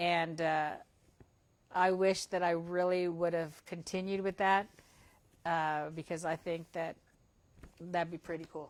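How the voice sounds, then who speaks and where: At a fairly slow pace, a woman speaks with a fairly low pitch and fairly even intonation. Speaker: school superintendent. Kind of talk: casual interview. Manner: loud.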